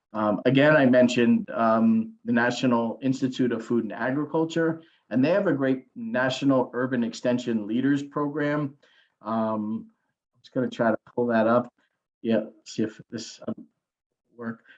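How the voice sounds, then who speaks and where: Delivered at a moderate pace, a man's plain, everyday voice sits at a medium pitch, with ordinary pitch variation and big swings in loudness. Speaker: government agency official presenting a program. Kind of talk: webinar presentation. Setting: online webinar.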